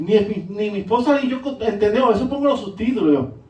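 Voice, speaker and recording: Amid audible room echo, a man with a high pitch talks at a moderate pace in an animated tone. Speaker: pastor. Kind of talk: sermon.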